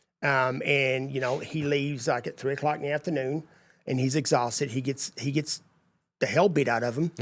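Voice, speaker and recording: This man has a Texas accent and a fairly high pitch. He talks fairly quickly with fairly even intonation. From East Texas. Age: 50s. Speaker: landscaping business owner. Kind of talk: casual interview chat.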